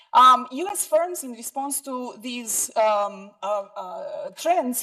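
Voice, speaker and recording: With lively intonation and a bright, sharp tone, a woman speaks at a high pitch. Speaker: economist presenting research. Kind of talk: conference presentation. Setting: conference room, live streamed. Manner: hesitant, many fillers.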